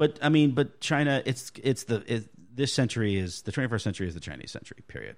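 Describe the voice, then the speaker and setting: On a very clean recording with a silent background, a man talks at a very fast pace with lively intonation, vocal fry and big swings in loudness. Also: medium pitch for a man. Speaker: podcast guest. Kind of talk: casual chat.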